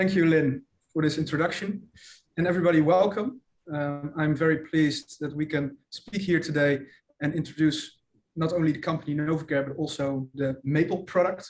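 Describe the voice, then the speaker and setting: With a Dutch accent, a man talks at a moderate pace in a fairly high pitch, keeping his intonation fairly even. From Netherlands. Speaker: commercial manager. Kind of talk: webinar presentation. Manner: halting, many fillers.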